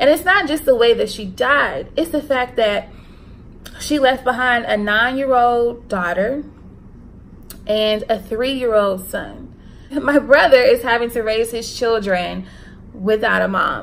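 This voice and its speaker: Speaking at a fairly slow pace with an American accent, a woman uses a high pitch and ordinary pitch variation. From US South, Charlotte, North Carolina. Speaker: YouTuber. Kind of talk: casual vlog monologue, spiritual talk. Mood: emotional, earnest, faith-focused. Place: home room. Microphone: phone near.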